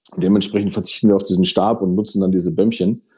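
A man's very fast speech in a fairly low pitch with a dark, mellow tone. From Ruhr area, Germany. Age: 30s. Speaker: fireworks company managing director. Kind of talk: interview. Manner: halting, many fillers.

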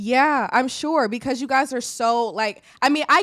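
An animated, fairly high-pitched woman with an American accent on a very clean recording with a silent background. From Illinois. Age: 20s. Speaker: podcast host. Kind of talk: casual interview.

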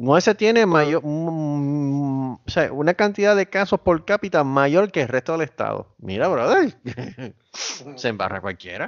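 The speaker moves at a fairly slow pace with very wide pitch swings. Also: man, fairly high pitch for a man. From Puerto Rico, Caguas. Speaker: podcast co-host. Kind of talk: casual chat. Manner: animated.

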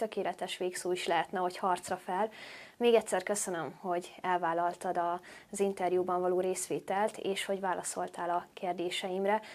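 At a fairly quick pace, a woman speaks at a medium pitch on a very clean recording with a silent background. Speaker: vlogger and interviewer. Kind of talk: interview.

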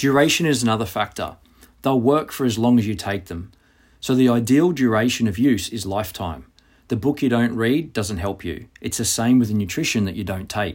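A man with an Australian accent speaks at a fairly quick pace, his pitch medium and its variation ordinary. The recording is very clean, with a silent background. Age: 40s. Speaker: physical preparation coach. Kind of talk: reading aloud.

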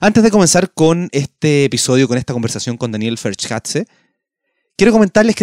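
Recorded dry and close with no echo, a man with a Chilean accent speaks at a fairly high pitch with very wide pitch swings. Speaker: podcast host, astronomy guide. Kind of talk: podcast intro monologue.

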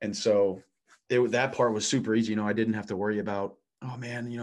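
A man speaks very fast with a US Midwestern accent. His intonation is monotone and flat, over a quiet background. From US Midwest (Illinois). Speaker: professional volleyball player. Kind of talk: casual interview chat.

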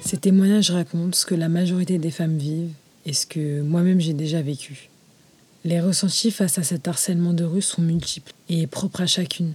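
A woman speaks in a dark, mellow tone that is somewhat breathy, with fairly even intonation. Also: fairly low pitch for a woman, moderate pace. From France, Moroccan heritage. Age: 20s. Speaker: podcast host. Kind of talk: scripted narration.

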